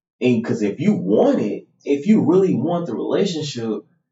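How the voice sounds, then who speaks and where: Vocal fry runs through this man's speech, which has an American accent and very wide pitch swings. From Missouri, US. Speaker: podcast co-host, married couple. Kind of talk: casual conversation between spouses.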